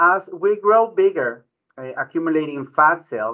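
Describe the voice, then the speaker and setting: A man talks at a fairly slow pace. His tone is bright and sharp. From Ecuador. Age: 40s. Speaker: physician, internal medicine director. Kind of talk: radio interview. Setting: studio.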